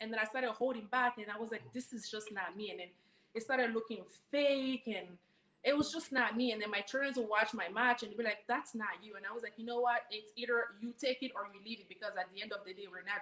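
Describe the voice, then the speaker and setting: A woman rattles along at a very fast pace in a fairly high pitch with ordinary pitch variation. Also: big swings in loudness. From Guinea, West Africa. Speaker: professional wrestler. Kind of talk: interview.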